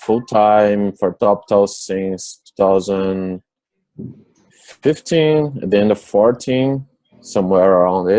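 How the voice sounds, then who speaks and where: The voice is dark and mellow, with a Portuguese accent. It moves at a very slow pace. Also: man. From Brazil, São Paulo. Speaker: software developer. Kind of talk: interview. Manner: halting.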